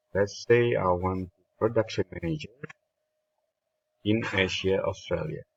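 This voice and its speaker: Somewhat breathy, the voice carries a non-native accent and fairly even intonation. It moves at a fairly slow pace with long, frequent pauses. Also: man, fairly low pitch for a man. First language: not English. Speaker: spreadsheet tutorial creator. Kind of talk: tutorial. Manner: halting, many fillers.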